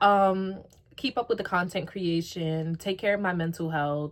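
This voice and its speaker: A woman with an American accent, in a plain, everyday voice, medium in pitch, with ordinary pitch variation and a moderate pace. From New York. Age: 20s. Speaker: YouTuber. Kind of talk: casual Q&A vlog. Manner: casual, filler-heavy.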